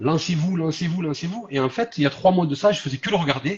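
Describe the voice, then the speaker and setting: The voice belongs to a man and sounds somewhat breathy. Pitch shifts are ordinary. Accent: southern French. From southern France. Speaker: social media content creator. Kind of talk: live stream interview.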